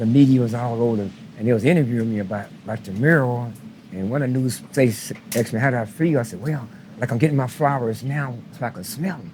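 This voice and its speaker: His pitch sits at a medium level with ordinary variation. The man goes at a very fast pace. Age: 70s. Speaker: street runner and preacher. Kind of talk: interview.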